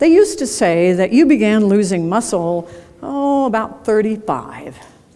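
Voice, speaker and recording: With audible room echo and noticeable background noise, a woman at medium pitch speaks at a moderate pace with lively intonation. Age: 70s. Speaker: keynote speaker. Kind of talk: conference keynote talk. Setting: stage with audience. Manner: conversational, engaging with audience.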